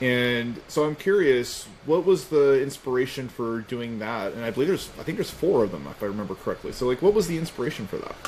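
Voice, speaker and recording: A man with an American accent and a medium pitch talks at a very fast pace with lively intonation and hardly any pauses, over noticeable background noise. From US Southeast. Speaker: music interviewer. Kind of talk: interview. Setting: video call.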